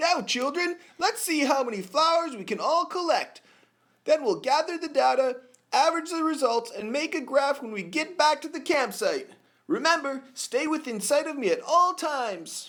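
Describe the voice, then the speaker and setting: A man uses a put-on character voice at an extremely high pitch. He speaks at a moderate pace. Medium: comedy sketch. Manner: casual, surfer-like.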